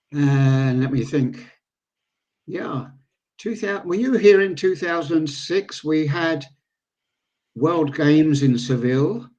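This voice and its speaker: Speaking very slowly with long, frequent pauses, a man with an English accent uses a fairly high pitch and ordinary pitch variation. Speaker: pool veteran and organiser. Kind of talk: podcast interview. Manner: halting.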